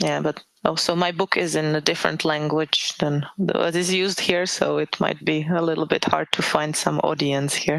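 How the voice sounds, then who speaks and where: In a Czech accent, a woman speaks very deep and low at a moderate pace. Her intonation is monotone and flat, her loudness very even. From Czech Republic. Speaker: author. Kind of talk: interview. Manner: halting.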